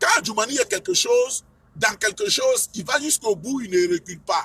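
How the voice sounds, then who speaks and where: Recorded dry and close with no echo, a man talks in a raised, projected voice at an extremely high pitch with very wide pitch swings and a moderate pace. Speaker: political speaker. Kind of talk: political speech.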